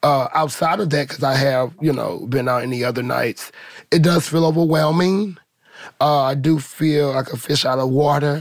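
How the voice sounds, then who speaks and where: Using a normal speaking voice with an American accent, a man talks at a moderate pace in a fairly high pitch with ordinary pitch variation. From St. Louis, Missouri. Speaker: ballroom community member. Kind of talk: group conversation.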